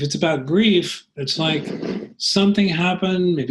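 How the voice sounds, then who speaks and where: Here is an unremarkable speaking voice, with ordinary pitch variation and a moderate pace. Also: man. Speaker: coach. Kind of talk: coaching session. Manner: calm, conversational.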